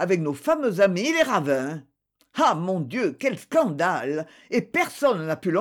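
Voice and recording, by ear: Someone is reading aloud in a natural voice, and the background is quiet.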